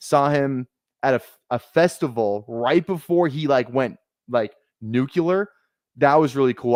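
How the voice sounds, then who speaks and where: A man with a Minnesotan accent and ordinary pitch variation, in a dry, close sound with no echo. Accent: Minnesota. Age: 20s. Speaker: fantasy football streamer. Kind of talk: casual chat. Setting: live stream.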